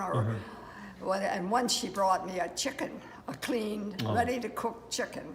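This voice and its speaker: A woman talks fairly slowly at a fairly high pitch while noticeable background noise carries on. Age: 80s+. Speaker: war veteran. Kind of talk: interview answer. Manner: hesitant.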